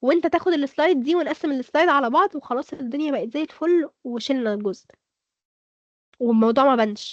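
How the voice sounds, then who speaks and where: A woman with an Egyptian accent speaks in an animated tone at a high pitch, with a dry, close sound and no echo. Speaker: speaker. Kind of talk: workshop lecture.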